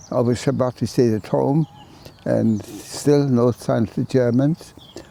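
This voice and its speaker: A man talks at a fairly slow pace with ordinary pitch variation. The sound is dry and close with no echo, though there is noticeable background noise. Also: medium pitch for a man. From Poland. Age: 90s. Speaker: Holocaust survivor. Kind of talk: testimony. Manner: halting.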